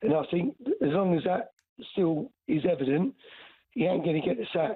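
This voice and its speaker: This man's voice is high-pitched. His pitch swings very widely. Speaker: caller, football fan. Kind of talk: casual chat. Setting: phone call. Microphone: bad reception.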